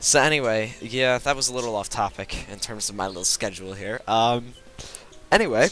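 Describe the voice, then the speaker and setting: Fairly quick speech with ordinary pitch variation and big swings in loudness, over music in the background. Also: man, medium pitch for a man. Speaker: gaming youtuber. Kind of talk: gameplay commentary. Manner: halting, many fillers and restarts.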